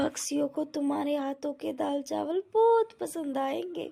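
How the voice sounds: Cartoonish character voice with a dark, mellow tone, lively intonation and vocal fry, at a moderate pace. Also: woman, high pitch for a woman.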